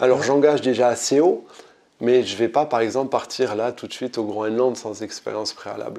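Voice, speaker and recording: A man's medium-pitched, dark and mellow voice at a fairly quick pace. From southwestern France. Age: 20s. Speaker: adventurer, former firefighter. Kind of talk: casual interview. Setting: in person at the host's home. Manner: halting.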